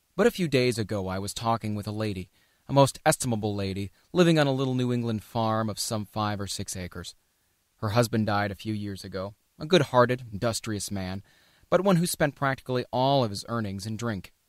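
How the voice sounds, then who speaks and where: In a plain, everyday voice, a man speaks at a fairly quick pace and medium pitch with ordinary pitch variation, in a dry, close sound with no echo. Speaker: audiobook narrator. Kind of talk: audiobook narration.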